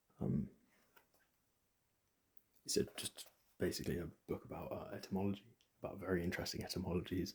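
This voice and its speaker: A soft-spoken man whispers at a very fast pace with vocal fry, broken by long, frequent pauses. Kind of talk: ASMR book recommendations. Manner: soft-spoken, whispered.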